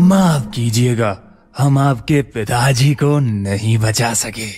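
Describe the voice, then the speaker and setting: In a put-on character voice, a man talks at a very slow pace. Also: medium pitch for a man. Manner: smooth, sinister, gleeful.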